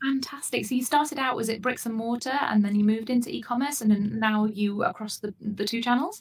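A very fast pace with ordinary pitch variation. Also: woman, fairly high pitch for a woman, hardly any pauses. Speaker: podcast host. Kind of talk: interview, professional chat.

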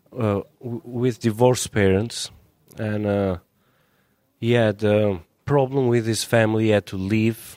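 A dark, mellow tone in an Albanian accent, fairly slow and fairly even in intonation, with long, frequent pauses. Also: man, medium pitch for a man. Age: young. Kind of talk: interview.

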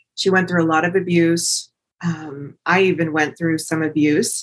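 A woman with an unremarkable speaking voice talks at a moderate pace, her fairly low pitch held in fairly even intonation. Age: 50s. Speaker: podcast host. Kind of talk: solo motivational talk.

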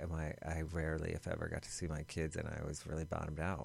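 A man with an American accent speaks on a very clean recording with a silent background. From Boston area. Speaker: former nightclub manager in recovery. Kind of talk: interview. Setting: studio.

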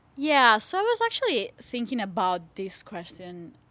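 A woman's bright, sharp voice in an Italian accent, with ordinary pitch variation and a fairly slow pace, on a very clean recording with a silent background. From Italy. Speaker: PhD student in plant science. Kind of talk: interview. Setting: studio. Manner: animated.

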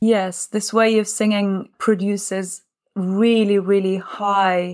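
A woman with an Italian accent speaks at a medium pitch in a monotone, flat intonation. The recording is very clean, with a silent background. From Naples, Italy. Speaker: opera singer and life coach. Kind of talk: casual interview.

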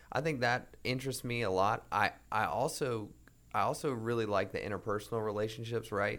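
A man with an American accent, medium pitch and ordinary pitch variation, at a fairly quick pace with very even loudness, in a very clean recording with a silent background. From North Carolina. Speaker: client services representative. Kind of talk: casual interview. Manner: hesitant, many fillers.

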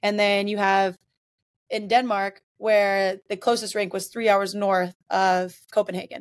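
This voice carries an American accent. It moves along fairly slowly. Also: woman, medium pitch for a woman. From US South, Mississippi. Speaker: hockey coach and former professional player. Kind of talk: interview. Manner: animated.

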